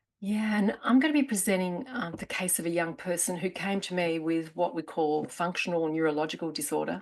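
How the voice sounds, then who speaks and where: In an Australian accent, a woman speaks at a fairly quick pace with hardly any pauses, a fairly low pitch and ordinary pitch variation. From Australia, Melbourne. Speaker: therapist presenter. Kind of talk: conference promo chat.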